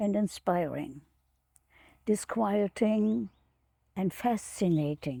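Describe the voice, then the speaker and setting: Recorded very cleanly against a silent background, a woman with a non-native accent and a dark, mellow tone speaks very slowly in a dry, close sound with no echo. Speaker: retired professor of education. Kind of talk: prepared remarks read in an interview. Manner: halting.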